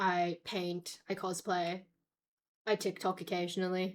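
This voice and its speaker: Recorded very cleanly against a silent background, a woman speaks at a medium pitch in a flat monotone. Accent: Australian. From grew up in Australia. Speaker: just chatting streamer; university student.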